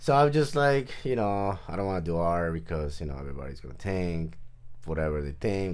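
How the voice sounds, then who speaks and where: Speaking very fast with a Spanish accent, a man has a very deep, low voice, and audible room echo surrounds it. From Mexico, Nayarit coast. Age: 40s. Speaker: artist. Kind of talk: casual interview chat.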